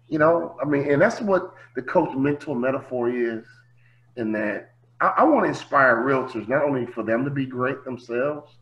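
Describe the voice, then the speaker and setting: A man with an American accent speaks at a moderate pace and ordinary pitch variation over noticeable background noise. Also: medium pitch for a man. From US Midwest, Chicago. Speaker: motivational speaker, former basketball player. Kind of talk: interview. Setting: video call. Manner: animated.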